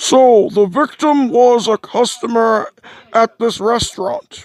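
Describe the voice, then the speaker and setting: A put-on character voice at a fairly high pitch and a very slow pace. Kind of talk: fan dub of game text. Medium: solo performance. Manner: befuddled, questioning.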